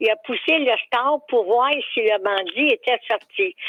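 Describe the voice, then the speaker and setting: A woman speaks very slowly in a high pitch with a Quebec accent. Her intonation is lively. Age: 80s+. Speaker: caller. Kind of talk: storytelling on call-in radio.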